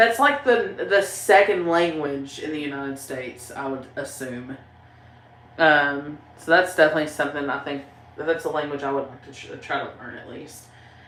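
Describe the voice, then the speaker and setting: In a strong Southern US accent, a woman speaks with a very deep, low pitch and ordinary pitch variation. Her loudness swings widely, and room echo is audible. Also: moderate pace. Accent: strong Southern country. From Tennessee. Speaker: YouTuber, paranormal channel host. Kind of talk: livestream chat reading comments. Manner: casual, rambling with fillers.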